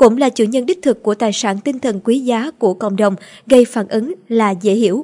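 The voice has a dark, mellow tone and lively intonation, moving at a fairly quick pace in a dry, close sound with no echo. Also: woman. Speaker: news presenter. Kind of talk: news reading. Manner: formal.

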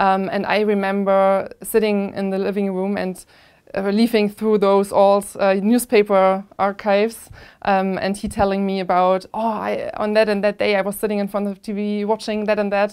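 The speaker has a German accent and a monotone, flat intonation. The pace is moderate against a quiet background. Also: woman, medium pitch for a woman. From Germany, Plauen in Saxony; Saxony, Germany. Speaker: analog astronaut and microbiologist. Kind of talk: interview. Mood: calm, reflective. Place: studio. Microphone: lapel.

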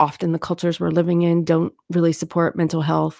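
A woman speaks with an American accent at a fairly low pitch. The sound is dry with no echo, over a quiet background. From Lancaster County, Pennsylvania; Pennsylvania. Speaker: therapist, clinical social worker; guest. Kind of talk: interview. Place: home room. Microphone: studio mic.

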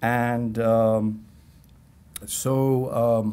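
A man with a Persian accent speaks in a dark, mellow tone. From Iran. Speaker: history professor. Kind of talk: lecture. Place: classroom. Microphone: podium.

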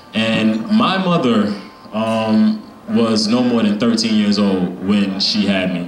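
In a room with audible echo and light background noise, a man speaks very slowly at a fairly low pitch, his loudness very even and his pitch varying in an ordinary way. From Brownsville, Brooklyn, New York. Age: 30s. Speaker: spoken word poet and youth organizer. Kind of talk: open mic spoken word talk. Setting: stage with audience and microphone. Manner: casual, filler-heavy. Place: shop. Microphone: handheld.

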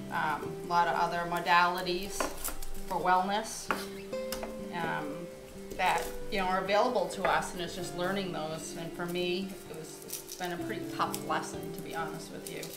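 Over clear music in the background, a woman speaks at a moderate pace with long, frequent pauses. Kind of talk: casual vlog chat. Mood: reflective, somewhat rueful. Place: kitchen. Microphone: camera far.

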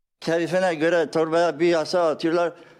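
A man speaks at a moderate pace in a high voice. The background is quiet. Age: 70s. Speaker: neighborhood resident interviewed. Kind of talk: street interview.

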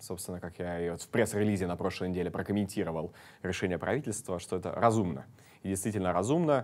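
At a very fast pace, a man speaks in a very deep, low pitch. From Estonia, Tallinn; Estonia. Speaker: city deputy mayor. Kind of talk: studio interview. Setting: studio. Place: studio. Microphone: lapel.

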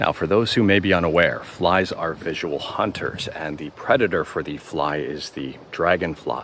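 A man talks with a very deep, low pitch. The sound is dry with no echo, over light background noise. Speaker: nature walk vlogger. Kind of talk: casual vlog chat. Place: forest. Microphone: phone near.

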